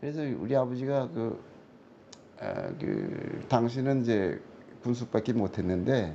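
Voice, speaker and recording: A man with a medium pitch and a dark, mellow tone speaks at a very slow pace, with ordinary pitch variation. Long pauses come often. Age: 70s. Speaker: fortune-telling scholar. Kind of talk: interview. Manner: halting.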